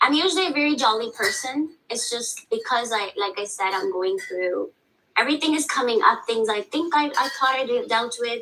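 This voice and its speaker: In a non-native accent, a woman speaks at a high pitch and moderate pace, with very wide pitch swings. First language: not English. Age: 30s. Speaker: teacher seeking counseling. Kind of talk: counseling session.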